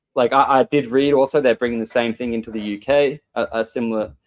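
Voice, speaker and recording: The sound is dry and close with no echo as a man with an Australian accent speaks at medium pitch with fairly even intonation. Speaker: show host. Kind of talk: casual chat. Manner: halting, many repeated words.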